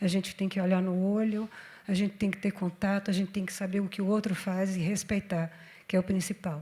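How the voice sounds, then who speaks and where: A woman's medium-pitched, somewhat breathy voice, dark and mellow in tone, with monotone, flat intonation. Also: fairly quick pace. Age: 60s. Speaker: panel moderator. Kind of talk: panel discussion.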